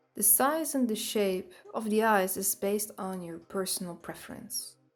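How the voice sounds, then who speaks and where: A woman with a Dutch accent speaks very slowly at a medium pitch with ordinary pitch variation while music plays in the background. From Netherlands. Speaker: artist. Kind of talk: drawing tutorial narration. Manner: upbeat.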